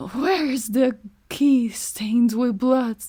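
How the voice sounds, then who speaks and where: Hoarse and high-pitched, a woman uses a put-on character voice at a very slow pace. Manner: menacing, demanding.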